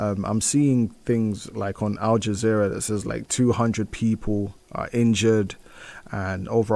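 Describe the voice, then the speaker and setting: In a British accent, a man with a fairly low pitch speaks at a moderate pace in a dark, mellow tone, his intonation monotone and flat. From UK, Nigerian heritage. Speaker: community radio host. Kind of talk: solo radio show, news and music chat. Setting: radio studio. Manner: casual, many fillers and restarts.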